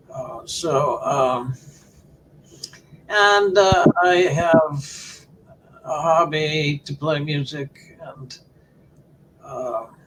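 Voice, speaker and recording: Over noticeable background noise, a man with an American accent speaks at a very slow pace and a fairly high pitch, with ordinary pitch variation and long, frequent pauses. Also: big swings in loudness. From US Midwest, Ohio. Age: 70s. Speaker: philosophy professor. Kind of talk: interview. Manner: halting, many repeated words.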